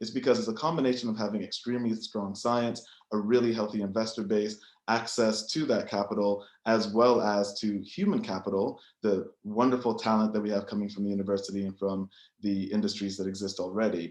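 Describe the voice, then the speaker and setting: A man with an American accent talks at a fairly quick pace in a normal speaking voice, fairly low in pitch, with fairly even intonation. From United States. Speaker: biotech entrepreneur and investor. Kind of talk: panel presentation.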